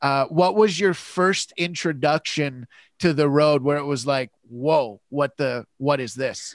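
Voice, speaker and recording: A man with a Canadian accent has a plain, everyday voice, fairly high in pitch with ordinary pitch variation, speaking at a fairly slow pace in a very clean recording with a silent background and a dry, close sound with no echo. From Canada (London, Ontario). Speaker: podcast host and comedian. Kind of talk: casual interview chat.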